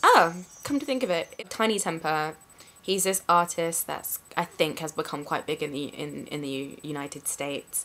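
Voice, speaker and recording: Against noticeable background noise, a woman with a London accent talks at a moderate pace in a fairly low pitch, with ordinary pitch variation. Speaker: vlogger. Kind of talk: casual talk to camera.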